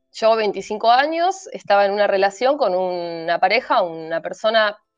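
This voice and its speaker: Faint music plays behind a dry, echo-free voice that moves at a fairly slow pace. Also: woman. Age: 30s. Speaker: cult survivor; guest. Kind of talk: testimony. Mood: earnest, reflective. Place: home room. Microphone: video call.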